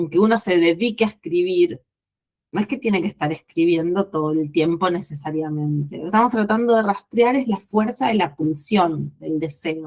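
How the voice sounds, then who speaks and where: A woman speaks at a fairly low pitch. Her intonation is lively. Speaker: writing teacher. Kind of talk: lecture. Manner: slow.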